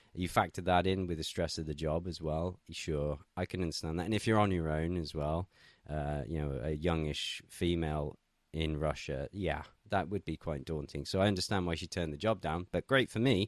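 In a dry, close sound with no echo and a quiet background, a man with an English accent speaks at a moderate pace in a very deep, low pitch with ordinary pitch variation. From England. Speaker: political commentator. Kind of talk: casual chat.

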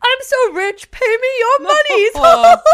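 The speaker uses a put-on character voice with an extremely high pitch. The pace is fairly slow. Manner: pompous, snobbish.

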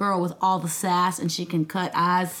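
With a Southern US accent, a woman talks at a moderate pace in a medium pitch. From US South, Nashville, Tennessee. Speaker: singer-songwriter. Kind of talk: casual chat.

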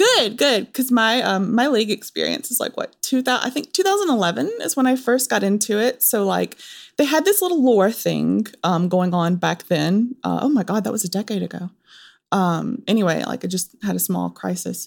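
Southern US accent from a woman at a moderate pace, on a very clean recording with a silent background. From Texas. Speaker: guest host of a games news podcast. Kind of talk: casual chat.

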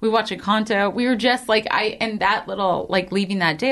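At a fairly quick pace and medium pitch, a woman speaks with lively intonation amid noticeable background noise. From grew up moving with army family. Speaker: podcast guest, investor. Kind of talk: casual chat.

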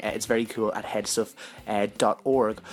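There is music in the background as a man speaks at a medium pitch. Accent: Irish. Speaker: podcast host. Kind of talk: podcast intro and outro.

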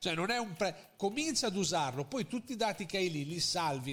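A man speaks fairly quickly. The swings in his pitch are very wide. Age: 40s. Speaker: marketing consultant. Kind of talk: interview. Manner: halting.

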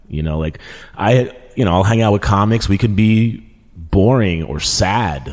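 An ordinary speaking voice, male, with an American accent, fairly low pitch and fairly slow pace. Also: lively intonation. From Queens, New York. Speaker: podcast co-host and comedian. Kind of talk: casual chat.

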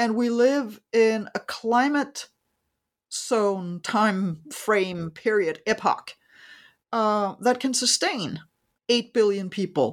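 A woman with a Danish accent speaks very slowly in a fairly high voice, with ordinary pitch variation and very even loudness. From Denmark. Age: 50s. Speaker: economist and author. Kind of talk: interview. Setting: remote call.

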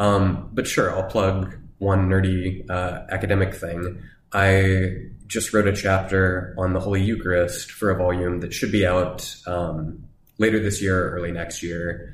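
With audible room echo, a man speaks fairly slowly in a very deep, low pitch, somewhat breathy and with monotone, flat intonation. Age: 30s. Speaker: academic theologian. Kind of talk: casual chat.

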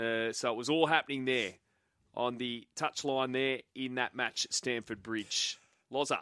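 In an Australian accent, a man speaks at a fairly slow pace with fairly even intonation. His tone is bright and sharp, and the sound is dry and close with no echo. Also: medium pitch for a man. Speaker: radio sports host. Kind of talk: live radio sports chat.

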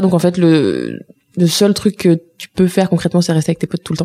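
A woman with a fairly low pitch at a fairly quick pace, in a dry, close sound with no echo. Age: 20s. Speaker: activist and former cook. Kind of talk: casual chat. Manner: animated.

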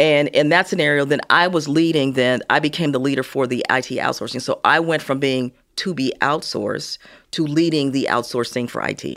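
At a fairly quick pace, a woman with an American accent speaks in a very deep, low voice with fairly even intonation, in a very clean recording with a silent background. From US Midwest, Gary, Indiana. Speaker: retired corporate executive. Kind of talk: interview.

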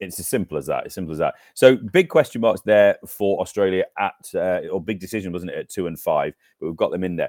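A man with an English accent talks at a very fast pace, with big swings in loudness. The sound is dry and close, with no echo. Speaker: cricket podcast co-host. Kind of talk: casual chat.

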